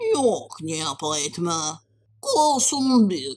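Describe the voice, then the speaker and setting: Put on as a character voice, the speech sits at a middle pitch and moves at a very slow pace with very wide pitch swings. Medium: fan dub. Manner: eager, playful.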